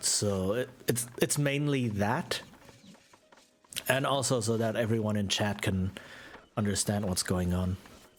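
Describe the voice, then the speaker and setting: This man has an American accent and a fairly low pitch, with ordinary pitch variation. He speaks at a fairly slow pace with long, frequent pauses. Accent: very American accent in English. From Germany. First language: German. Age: 30s. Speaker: video game streamer. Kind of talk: casual live-stream gameplay chat. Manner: hesitant, many fillers and repeats.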